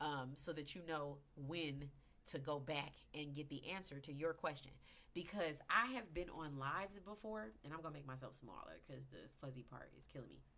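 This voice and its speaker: A woman with a very deep, low pitch and a bright, sharp tone speaks at a moderate pace in an animated tone with ordinary pitch variation. Her loudness swings widely, and audible room echo surrounds her. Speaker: crypto educator. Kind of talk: livestream tutorial. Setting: live video broadcast.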